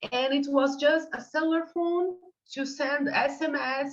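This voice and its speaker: A woman speaks with a Portuguese accent. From Brazil. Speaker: ecotoxicology researcher. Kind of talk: online workshop discussion. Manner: halting, many fillers.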